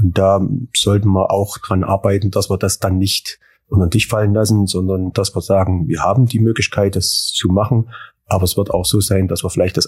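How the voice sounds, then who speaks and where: Somewhat breathy, a man speaks at a fairly low pitch with monotone, flat intonation. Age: 40s. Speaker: farm manager. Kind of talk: interview.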